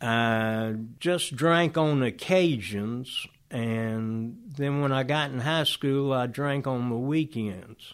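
A very slow-paced man with a Georgia accent, medium pitch and ordinary pitch variation. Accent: Southern American (Georgia). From US South (Oxford, Georgia). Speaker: Vietnam war veteran. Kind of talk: testimony.

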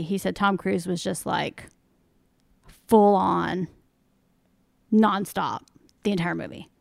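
A woman at a medium pitch speaks at a moderate pace with ordinary pitch variation and long, frequent pauses, on a very clean recording with a silent background. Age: 50s. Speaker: podcast guest. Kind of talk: casual chat.

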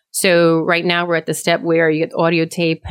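A woman talks with an American accent. Her pace is moderate. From Eastern North Carolina (early childhood in Connecticut). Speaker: town council member and policy advocate. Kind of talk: interview. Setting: studio.

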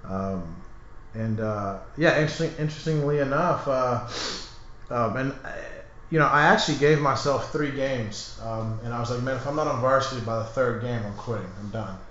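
A man with an American accent at a medium pitch and moderate pace, ordinary pitch variation, audible room echo and noticeable background noise. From Texas. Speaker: gym owner and fitness trainer. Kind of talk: casual chat. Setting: studio.

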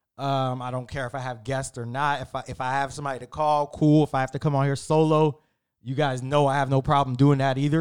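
Speaking at a fairly quick pace, a man uses a normal speaking voice pitched fairly high. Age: 30s. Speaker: podcast host. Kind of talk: casual solo talk.

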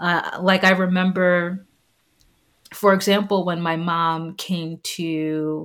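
In a very clean recording with a silent background, a woman with an ordinary speaking voice and an American accent speaks at a fairly low pitch with fairly even intonation. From New York City, Staten Island. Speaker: university alumna, mother. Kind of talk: interview, personal testimony.

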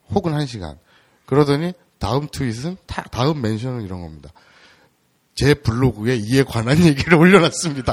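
The speaker keeps a moderate pace, with big swings in loudness and long, frequent pauses. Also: man, medium pitch for a man, lively intonation. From Seoul, South Korea. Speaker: podcast interviewer. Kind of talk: interview.

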